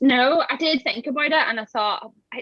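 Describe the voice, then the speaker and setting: A woman with a high pitch speaks in a Belfast accent, her intonation lively. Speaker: campervan converter and social media creator. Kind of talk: casual chat.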